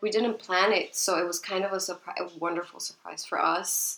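With a Spanish accent, a woman talks at a moderate pace in a fairly low pitch and a bright, sharp tone. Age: 20s. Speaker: podcast co-host, interior designer, mother. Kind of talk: casual chat.

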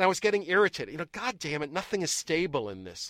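A man speaks very fast with an American accent. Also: dry, close sound with no echo, very clean recording, silent background. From US Northeast, Boston area. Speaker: neuroscience professor. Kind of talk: casual interview.

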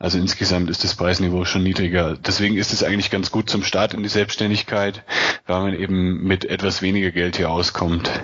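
Very deep and low, a man's voice moves at a fairly quick pace in monotone, flat intonation with very even loudness, over noticeable background noise. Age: 20s. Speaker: freelance online marketer and travel blogger. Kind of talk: interview.

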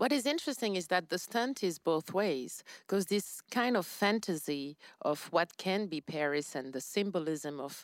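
A woman with a French accent and lively intonation, in a very clean recording with a silent background. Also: dry, close sound with no echo. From France. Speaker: podcast co-host. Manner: conversational, relaxed.

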